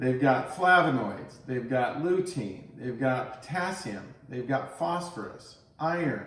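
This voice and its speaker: At a very slow pace, a man speaks with lively intonation. Audible room echo and noticeable background noise are present. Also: medium pitch for a man. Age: 60s. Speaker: health and fitness vlogger. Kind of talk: tutorial.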